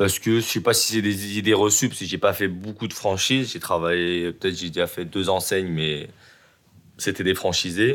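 This man's pitch is very deep and low, his intonation fairly even. He talks at a fairly quick pace on a very clean recording with a silent background. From Lyon area, France. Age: 30s. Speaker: hair salon owner. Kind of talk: interview.

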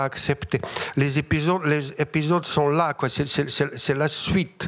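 In a very clean recording with a silent background, a man with a strong Bosnian accent speaks at a fairly high pitch with ordinary pitch variation. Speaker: writer. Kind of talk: literary panel discussion. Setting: stage with audience. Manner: humorous.

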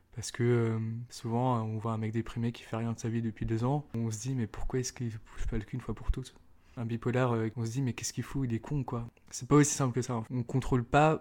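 This man talks at a fairly quick pace with medium pitch. His intonation stays monotone and flat. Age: 20s. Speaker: person sharing lived experience of bipolar disorder. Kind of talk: testimony.

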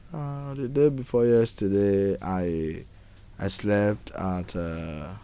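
Recorded with audible room echo, a man talks at a fairly low pitch in a dark, mellow tone. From Nigeria. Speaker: homeless migrant. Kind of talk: interview testimony. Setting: outdoors. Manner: halting.

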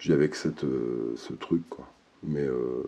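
Speaking at a very slow pace, a man uses a very deep, low pitch. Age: 40s. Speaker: interviewee sharing testimony on hearing voices. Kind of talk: testimony. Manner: halting.

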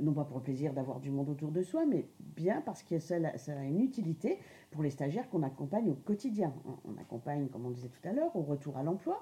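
A woman's dark, mellow tone at a moderate pace. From Lorraine, France. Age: 50s. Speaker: adult education trainer. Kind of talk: interview. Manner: hesitant, many fillers.

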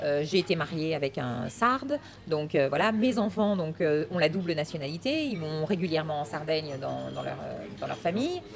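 With noticeable background noise behind her, a woman speaks at a very deep, low pitch, with lively intonation and a moderate pace. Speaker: ice cream shop owner. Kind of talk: interview.

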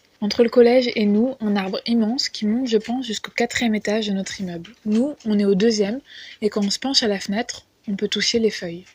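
A woman's fairly high, somewhat breathy voice at a fairly quick pace, with fairly even intonation. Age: 20s. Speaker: podcast contributor. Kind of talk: personal testimony.

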